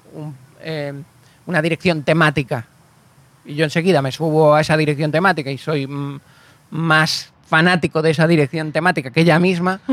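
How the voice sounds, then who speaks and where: A man's fairly high voice moves at moderate speed, its intonation fairly even. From Canary Islands, Spain (Galician family). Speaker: actor and screenwriter. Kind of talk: casual interview chat.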